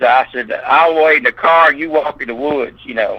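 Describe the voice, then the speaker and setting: Male voice with a Southern US accent, fairly high in pitch, moderate pace, noticeable background noise. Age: 60s. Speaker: eyewitness interviewee. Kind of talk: interview.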